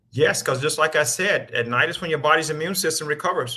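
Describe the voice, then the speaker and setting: A man talks at a very fast pace with fairly even intonation. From US South. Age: 60s. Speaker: rheumatologist. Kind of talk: panel Q&A.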